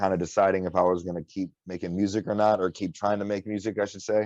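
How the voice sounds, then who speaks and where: An American accent in a flat monotone, with a dry, close sound with no echo and a quiet background. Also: man. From Michigan, Detroit area (Warren). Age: 20s. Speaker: underground rapper. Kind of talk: casual interview.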